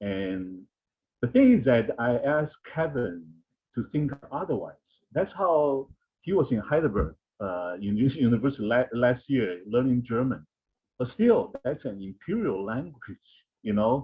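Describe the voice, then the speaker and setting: A man's medium-pitched voice at a fairly slow pace, broken by long, frequent pauses. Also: lively intonation. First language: not English. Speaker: anthropologist. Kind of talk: panel discussion.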